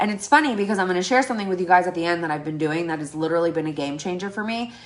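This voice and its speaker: Very fast and lively in intonation, a woman with a fairly low pitch talks over noticeable background noise. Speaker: network marketing team leader. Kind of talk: training presentation to team. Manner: animated.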